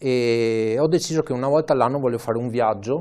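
A medium-pitched man with a dark, mellow tone, ordinary pitch variation, and a moderate pace against a quiet background. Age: 30s. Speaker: amateur cyclist and charity fundraiser. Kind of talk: interview. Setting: studio.

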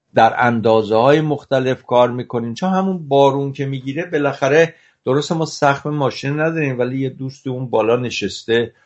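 A plain, everyday voice from a man, fairly high in pitch with ordinary pitch variation, at a fairly quick pace with hardly any pauses. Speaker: cinematographer. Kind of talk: interview.

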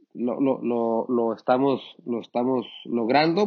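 A man speaks in a medium pitch. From Mexico, Sinaloa. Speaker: winemaker. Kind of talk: interview. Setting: wine cellar. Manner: halting.

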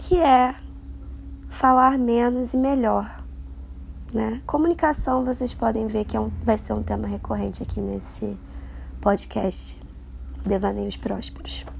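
A woman at a fairly slow pace with long, frequent pauses and audible room echo. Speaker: podcaster and journalist. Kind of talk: casual monologue. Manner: rambling, filler-heavy.

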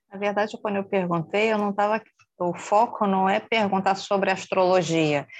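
A normal speaking voice from a woman, pitched in the middle range, at a moderate speed. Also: fairly even intonation. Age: 50s. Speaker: meditation class participant. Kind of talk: audience question.

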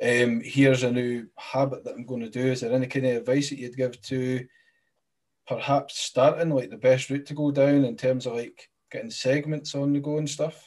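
This man, with a Scottish accent, keeps a medium pitch and fairly even intonation while his loudness swings widely. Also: moderate pace. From Scotland. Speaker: podcast host. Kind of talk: casual interview.

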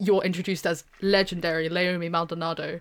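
Speaking at a moderate pace with a British accent, a woman has a medium pitch. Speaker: university student. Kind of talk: casual chat. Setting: online recording.

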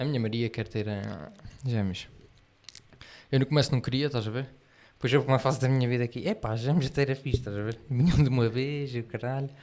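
A man with a European Portuguese accent speaks at a fairly quick pace, with long, frequent pauses. His pitch is medium with ordinary variation. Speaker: podcast co-host. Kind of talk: casual chat. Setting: live stream.

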